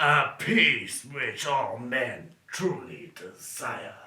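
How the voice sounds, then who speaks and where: A man's put-on character voice, fairly high-pitched and very slow-paced. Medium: read story. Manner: slow, ominous.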